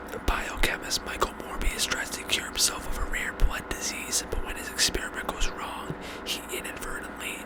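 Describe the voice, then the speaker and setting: A man whispers in a relaxed tone over noticeable background noise. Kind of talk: whispered ASMR ramble to camera. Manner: whispered, relaxed, casual.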